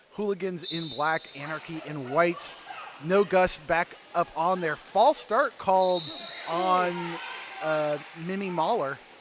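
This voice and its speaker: Over noticeable background noise, a man with an American accent speaks very slowly at a high pitch, with ordinary pitch variation and long, frequent pauses. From US South. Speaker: roller derby announcer. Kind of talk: live commentary. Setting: ice arena.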